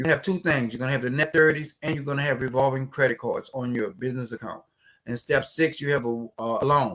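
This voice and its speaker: His voice sits at a medium pitch. The man speaks fairly quickly. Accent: New Orleans. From New Orleans, Louisiana, US South. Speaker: business credit educator, company CEO. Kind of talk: live stream tutorial. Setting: live stream. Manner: animated.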